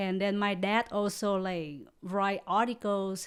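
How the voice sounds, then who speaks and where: In a very clean recording with a silent background, a woman with a medium pitch and a Vietnamese accent speaks at a fairly slow pace. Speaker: comedian. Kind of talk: casual chat. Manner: halting.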